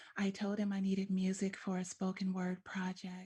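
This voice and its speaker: Her tone is dark and mellow, and somewhat breathy. The woman's pitch is medium. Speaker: spoken word artist. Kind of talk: interview answer.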